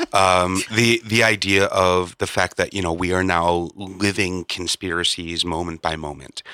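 A man speaks at a very deep, low pitch in a bright, sharp tone and a fairly slow pace. The recording is very clean, with a silent background and a dry, close sound with no echo. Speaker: podcast host. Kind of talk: casual banter podcast. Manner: joking, animated.

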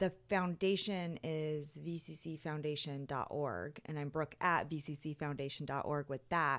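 In a very clean recording with a silent background, a woman speaks with an American accent. Her pitch is very deep and low. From Las Vegas, Nevada. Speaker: preservation consultant. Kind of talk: interview.

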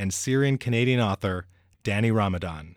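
A man talks at medium pitch with ordinary pitch variation. His is an unremarkable speaking voice. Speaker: podcast host. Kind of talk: interview.

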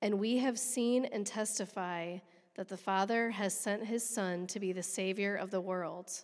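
Speaking at a moderate pace in a very clean recording with a silent background, a woman has an unremarkable speaking voice of medium pitch and fairly even intonation. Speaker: scripture reader. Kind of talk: reading aloud. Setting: church.

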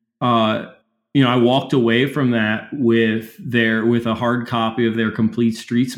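Speaking with an American accent, a man has a medium pitch and a fairly slow pace. It is a plain, everyday voice. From Baltimore, Maryland. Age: 30s. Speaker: city council member. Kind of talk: interview.

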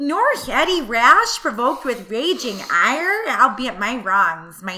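A woman's put-on character voice with a Midwestern accent, high-pitched with very wide pitch swings, at a fairly slow pace over light background noise.

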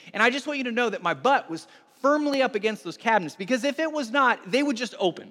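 Talking at a very fast pace, a man uses a raised, projected voice with an extremely high pitch. His tone is bright and sharp, and his intonation lively. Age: 40s. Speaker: pastor. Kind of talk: sermon. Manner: halting.

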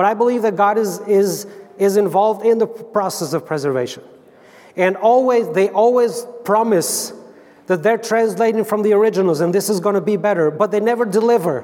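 With an Albanian accent, a man talks at a fairly quick pace and a high pitch with ordinary variation. His loudness stays very even, and there is noticeable background noise. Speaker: Bible translator. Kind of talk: church talk. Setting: church conference with audience. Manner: halting.

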